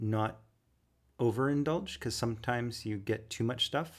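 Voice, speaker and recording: A man speaks in a normal speaking voice at medium pitch, with fairly even intonation. The recording is very clean, with a silent background. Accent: Canadian. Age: 40s. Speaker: podcast date guest. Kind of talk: casual chat.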